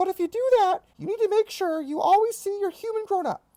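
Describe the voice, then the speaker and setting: This is a cartoonish character voice delivered at a fairly quick pace. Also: woman. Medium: puppet.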